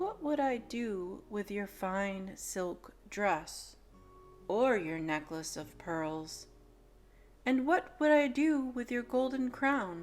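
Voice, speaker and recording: A woman puts on a character voice at a medium pitch. She speaks at a very slow pace over faint music in the background. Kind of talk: bedtime story. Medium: read story.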